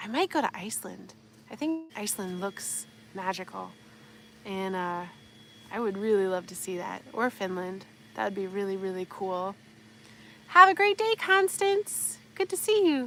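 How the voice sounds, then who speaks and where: A woman with an American accent speaks at a moderate pace, with long, frequent pauses and big swings in loudness. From US Midwest, Wisconsin. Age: 30s. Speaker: homesteader, livestream host. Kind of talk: casual livestream chat. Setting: outdoors in garden, livestream. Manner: animated.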